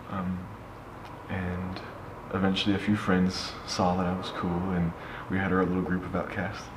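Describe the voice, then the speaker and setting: A man with an American accent and a very deep, low pitch talks at a moderate pace in a monotone, flat intonation, with long, frequent pauses. Audible room echo and noticeable background noise surround him. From US West Coast, Oakland California. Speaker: slam poet and public speaker. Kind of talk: interview, personal story. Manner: hesitant, many fillers and restarts.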